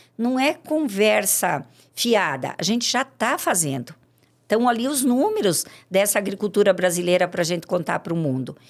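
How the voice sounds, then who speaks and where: On a very clean recording with a silent background, a woman at a medium pitch swings her pitch very widely. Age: 60s. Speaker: farmer. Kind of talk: podcast interview.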